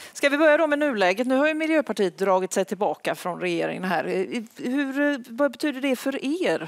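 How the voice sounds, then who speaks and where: A high-pitched woman's voice with very wide pitch swings, set against a quiet background. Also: moderate pace. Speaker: event moderator. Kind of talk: event moderation. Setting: stage with audience. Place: hall. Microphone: headset.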